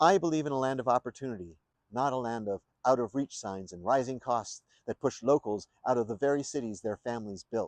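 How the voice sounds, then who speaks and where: Over a quiet background, a man with an American accent speaks very fast with ordinary pitch variation, the sound dry and close with no echo. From New York State. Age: 60s. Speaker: independent presidential candidate. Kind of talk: campaign speech. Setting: outdoors in front of the state capitol. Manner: formal.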